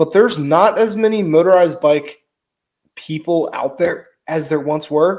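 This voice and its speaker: With a slight West Virginia accent, a man talks at a fairly slow pace, his fairly high pitch moving with ordinary variation. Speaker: motorized bike YouTuber, podcast co-host. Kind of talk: casual chat. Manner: animated.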